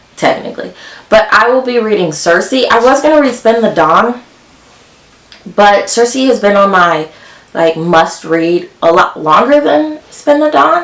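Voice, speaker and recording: Against noticeable background noise, a woman speaks fairly slowly in a fairly high pitch, her loudness very even while her pitch swings very widely. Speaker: book youtuber. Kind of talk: casual vlog talk.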